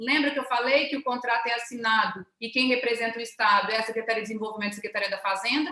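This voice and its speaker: A woman's raised, projected voice with ordinary pitch variation. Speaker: government official presenting a webinar. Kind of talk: webinar presentation. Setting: online webinar. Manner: fast.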